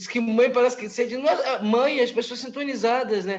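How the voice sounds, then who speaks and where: Intonation stays fairly even, and the pace is moderate. Noticeable background noise sits underneath. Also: man. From Brazil. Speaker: spiritist study group member. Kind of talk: group study discussion.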